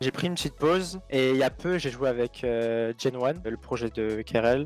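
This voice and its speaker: A man's medium-pitched voice comes through with music playing behind it. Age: 20s. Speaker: esports player. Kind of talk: interview.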